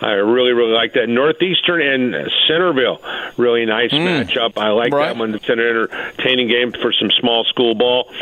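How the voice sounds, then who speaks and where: A man with an American accent, moderate pace, ordinary pitch variation and noticeable background noise. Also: medium pitch for a man. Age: 60s.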